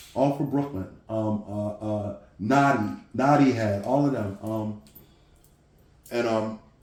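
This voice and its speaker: Audible room echo surrounds a man with a New York accent. His pitch is medium and varies in an ordinary way. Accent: sounds like New York. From New Jersey. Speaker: interview guest, former prisoner. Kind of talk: casual interview, personal story. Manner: halting, many fillers and repeats.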